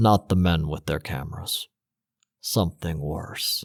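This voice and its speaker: A put-on character voice delivers its lines in a solemn tone at a fairly slow pace. The sound is dry and close, with no echo. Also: man, very deep, low pitch for a man. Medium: read story. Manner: quiet, solemn, grave.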